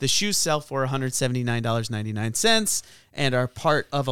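On a very clean recording with a silent background, a man with a medium pitch and ordinary pitch variation has an ordinary speaking voice. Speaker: podcast host, theologian. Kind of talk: casual chat.

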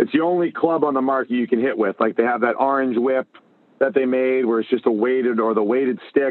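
A man with an American accent and a plain, everyday voice, medium in pitch, ordinary pitch variation, fairly quick delivery. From Massachusetts (Boston area). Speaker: hockey coach and entrepreneur. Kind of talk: interview.

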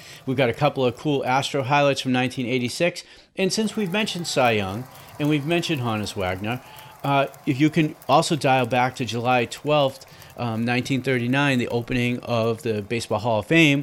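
Medium-pitched with ordinary pitch variation, a man talks with a Boston accent. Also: moderate pace. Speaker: baseball history podcast host. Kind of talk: casual solo podcast narration.

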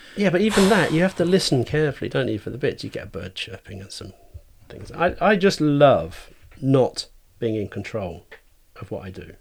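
With vocal fry, a man talks at a fairly quick pace, his pitch swinging very widely and his loudness swinging a lot. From Cambridgeshire, England. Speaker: artist. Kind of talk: casual chat.

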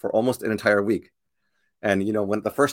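A man's fairly low voice with an energetic, enthusiastic tone. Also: dry, close sound with no echo. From Canada, Korean-Canadian family. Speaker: sales coach, show host. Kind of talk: live-stream webinar talk. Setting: live video stream.

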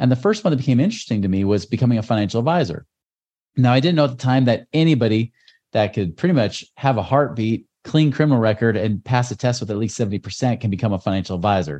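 A dark, mellow voice moves at a very fast pace with lively intonation over a quiet background. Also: man, medium pitch for a man. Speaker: real estate investor and former financial advisor. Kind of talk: casual interview.

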